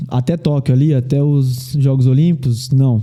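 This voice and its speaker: This man has an interior São Paulo accent and a fairly high pitch. He speaks at a fairly slow pace. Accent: interior São Paulo, curled R. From interior of São Paulo state.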